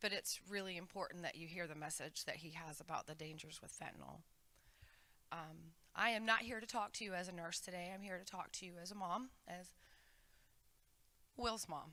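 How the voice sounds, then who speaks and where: Speaking in an American accent, a woman uses a fairly low pitch, a bright, sharp tone and ordinary pitch variation. Her pace is fairly quick, broken by long, frequent pauses, and her loudness swings widely. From Hampton, Virginia, US. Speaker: school nurse and bereaved mother. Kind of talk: testimony to students.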